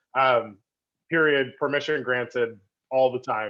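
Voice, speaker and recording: Speaking at a moderate pace, this man has a normal speaking voice pitched in the medium range. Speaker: cooperative entrepreneur, guest speaker. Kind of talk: online presentation. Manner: casual.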